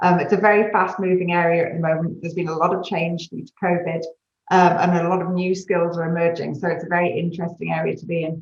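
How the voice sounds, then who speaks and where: A very fast, flat, monotone woman's voice in a British accent, fairly low in pitch. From UK. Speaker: consulting executive. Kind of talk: panel discussion.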